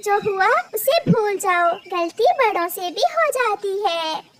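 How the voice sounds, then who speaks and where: The voice is a cartoonish character voice. Its delivery is fairly slow. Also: woman, extremely high pitch for a woman. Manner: soft, gentle.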